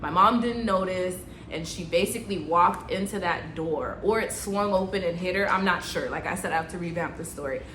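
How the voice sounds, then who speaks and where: Delivered at a very fast pace with fairly even intonation, the speech carries audible room echo and noticeable background noise. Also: woman. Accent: American. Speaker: nurse and vlogger. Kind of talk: story time vlog. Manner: casual, conversational.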